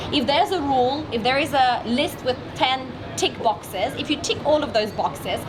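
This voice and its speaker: A loud, energetic woman's voice, high-pitched with lively intonation, at a moderate pace over noticeable background noise. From Russian Far East, Vladivostok. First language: Russian. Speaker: entrepreneur and marketing expert. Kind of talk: interview.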